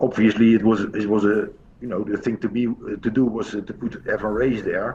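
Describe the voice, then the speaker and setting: Delivered at a moderate pace, the speech has fairly even intonation and a Dutch accent. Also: man. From Netherlands. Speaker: pool coach. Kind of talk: interview. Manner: hesitant, many fillers.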